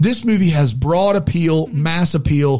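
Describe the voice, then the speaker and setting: Speaking in an unremarkable speaking voice, a man uses lively intonation at a fairly high pitch and a moderate pace. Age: 40s. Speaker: podcast co-host. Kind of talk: casual chat.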